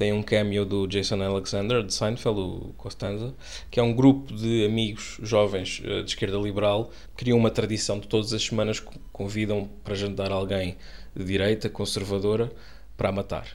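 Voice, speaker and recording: A man speaks with a European Portuguese accent and fairly low pitch. His delivery is monotone and flat at a moderate pace. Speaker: podcast co-host, commentator. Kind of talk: casual satirical panel chat.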